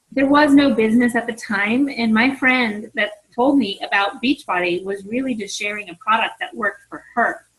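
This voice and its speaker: The voice is an ordinary speaking voice with ordinary pitch variation. It moves at a moderate pace. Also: woman. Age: 40s. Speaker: fitness coach. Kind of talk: team conference call talk. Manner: casual, conversational.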